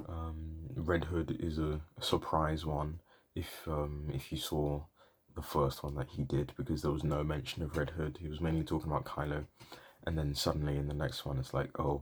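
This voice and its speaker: A soft-spoken man with a very deep, low voice and a British accent, with some vocal fry. He talks at a moderate pace with fairly even intonation. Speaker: cosplay vlogger. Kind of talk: casual vlog monologue. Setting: home, late at night. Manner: soft-spoken, quiet; hesitant, many fillers.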